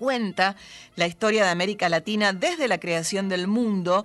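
A woman has an ordinary speaking voice, with medium pitch and ordinary pitch variation. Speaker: radio host. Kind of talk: poetry reading, reading aloud on late-night radio. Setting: studio. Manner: measured, expressive, intimate poetic delivery.

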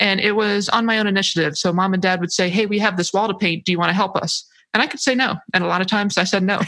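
Speaking at a very fast pace, a woman keeps a medium pitch and fairly even intonation. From Hawaii. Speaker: author and navy veteran. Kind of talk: casual chat.

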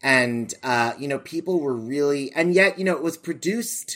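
An animated man with an American accent at a moderate pace, ordinary pitch variation throughout. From US. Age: 40s. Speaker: theater director and podcaster. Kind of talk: casual interview chat. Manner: animated, with frequent fillers.

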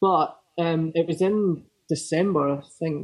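A man speaks at a high pitch in a central Lowlands Scottish accent. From Scotland, Falkirk area. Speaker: hardcore band guitarist. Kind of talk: casual interview chat.

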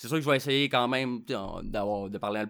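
Recorded very cleanly against a silent background, a man speaks with a Quebec accent and ordinary pitch variation. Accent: Québécois French. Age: 30s. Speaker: podcast host. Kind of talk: casual solo monologue. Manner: hesitant, with fillers and repetitions.

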